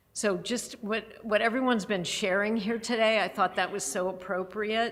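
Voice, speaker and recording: A woman at a moderate pace with ordinary pitch variation, amid audible room echo. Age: 60s. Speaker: charity president. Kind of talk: church service talk. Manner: halting.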